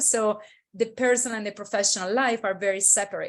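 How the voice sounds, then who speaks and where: A woman talks fairly quickly at a medium pitch with an Italian accent. The recording is very clean, with a silent background. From Italy. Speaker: intercultural consultant. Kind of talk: interview. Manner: hesitant with fillers.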